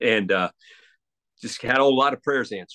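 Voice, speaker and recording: Talking at a fairly quick pace, a man uses a fairly high pitch with vocal fry and lively intonation. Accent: American. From Pennsylvania, US. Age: 60s. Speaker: retired sports anchor. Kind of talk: casual interview. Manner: halting, with many repetitions.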